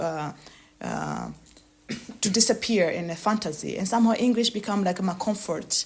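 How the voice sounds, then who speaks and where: A woman with a Burundian accent, medium pitch, vocal fry, fairly even intonation and a moderate pace. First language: Kirundi. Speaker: author. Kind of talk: interview. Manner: halting, many hesitations and repetitions.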